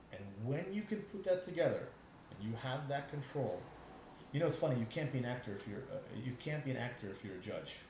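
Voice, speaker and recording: A somewhat breathy man with a fairly high pitch talks at a very fast pace with very wide pitch swings. Long, frequent pauses break his speech, and audible room echo surrounds it. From New York City. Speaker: podcast guest, trained actor. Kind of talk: casual interview chat. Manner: halting, many restarts.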